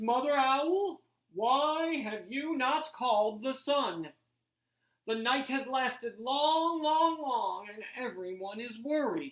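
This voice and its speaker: A female-sounding voice puts on a character voice, pitched high. She speaks at a very slow pace. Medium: read story. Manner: grave, deliberate.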